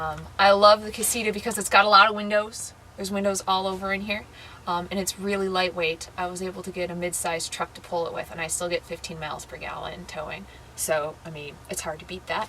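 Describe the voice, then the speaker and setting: A very fast-talking woman with an American accent, medium pitch, fairly even intonation and big swings in loudness, over noticeable background noise. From US Midwest, Madison, Wisconsin. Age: 20s. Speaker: full-time RVer, seasonal worker. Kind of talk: casual interview, personal story and RV tour. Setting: inside her travel trailer. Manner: casual, with many fillers.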